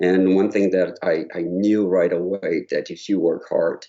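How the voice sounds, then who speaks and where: A man with a slight Brazilian accent speaks at a fairly slow pace. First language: Portuguese. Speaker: choral conductor. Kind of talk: interview. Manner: halting, with repetitions.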